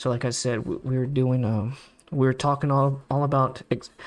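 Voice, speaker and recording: With music in the background, a man speaks at a fairly quick pace and medium pitch, his intonation fairly even. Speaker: stock market streamer. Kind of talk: live stream commentary. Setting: live stream with background music. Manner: fast; casual, filler-heavy.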